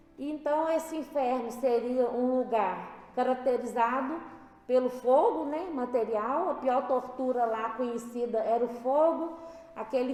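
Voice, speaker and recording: Against noticeable background noise, a high-pitched woman speaks fairly slowly with ordinary pitch variation. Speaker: spiritist study leader. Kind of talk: religious study talk. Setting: spiritist center.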